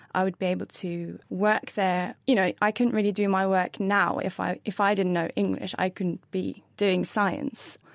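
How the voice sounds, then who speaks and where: Hardly pausing, a woman speaks with a Norwegian accent at a medium pitch. The recording is very clean and silent, dry and close with no echo. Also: fairly even intonation, moderate pace. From Norway. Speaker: brain scientist. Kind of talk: science Q and A panel answers.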